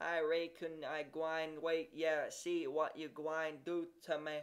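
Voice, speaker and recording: A shaky put-on character voice at a middle pitch, fairly slow. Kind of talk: rustic dialect. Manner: quavering, fearful.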